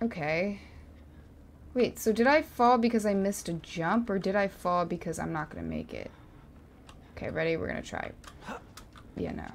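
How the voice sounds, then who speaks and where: A woman's lively intonation at a moderate pace, with big swings in loudness, long, frequent pauses and light background noise. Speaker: gamer. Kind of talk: angry rant while gaming. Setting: livestream gameplay. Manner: frustrated, sarcastic, exasperated. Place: home room. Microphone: studio mic.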